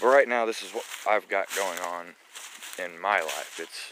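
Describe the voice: A man talks at a fairly slow pace in a low pitch, with ordinary pitch variation and a bright, sharp tone.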